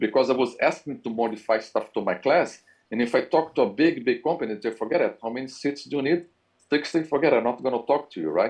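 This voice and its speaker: A man in a Brazilian accent, medium in pitch, speaking at a very fast pace. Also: ordinary pitch variation. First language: Portuguese. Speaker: university professor. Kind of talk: interview.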